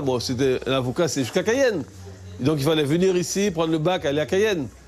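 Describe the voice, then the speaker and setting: With noticeable background noise behind him, a man with a fairly high voice speaks at a very fast pace. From French Guiana, Kourou. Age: 60s. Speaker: local resident interviewee. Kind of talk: interview testimony. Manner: halting, repeats words.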